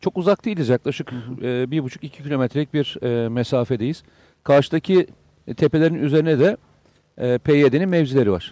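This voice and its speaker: With a dark, mellow tone and ordinary pitch variation, a man's voice comes through dry and close with no echo. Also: fairly high pitch for a man, moderate pace. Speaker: security expert. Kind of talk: live TV discussion. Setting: on location at the Syrian border.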